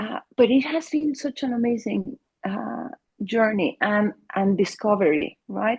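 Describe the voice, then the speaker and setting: A woman with a Mexican accent speaks at a fairly high pitch with vocal fry. Her intonation is lively and her pace fairly slow. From Mexico. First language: Spanish. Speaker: family therapist. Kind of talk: interview. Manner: halting, with repeated words.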